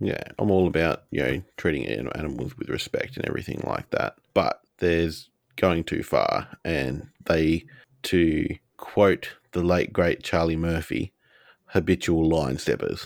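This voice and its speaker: A man with an Australian accent speaks at a fairly slow pace, his very deep, low voice showing vocal fry and ordinary pitch variation. The recording is very clean with a silent background. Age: 30s. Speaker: podcast co-host. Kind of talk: casual chat.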